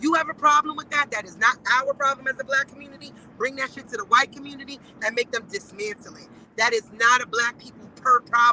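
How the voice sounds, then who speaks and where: A woman with a high pitch speaks in a raised, projected voice at a very fast pace, with ordinary pitch variation. Her loudness swings widely, and the sound is dry and close with no echo. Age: 40s. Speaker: guest commentator. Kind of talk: casual chat. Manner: animated.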